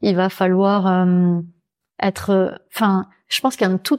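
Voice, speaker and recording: With a normal speaking voice at medium pitch, a woman talks at a fairly slow pace in a dry, close sound with no echo on a very clean recording with a silent background. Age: 40s. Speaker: naturopath and author. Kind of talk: interview. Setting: naturopath's office.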